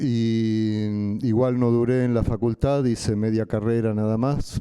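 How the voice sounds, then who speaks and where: A man speaks in a Rioplatense accent with medium pitch. His tone is dark and mellow. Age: 60s. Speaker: artist and activist. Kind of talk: panel talk, personal testimony.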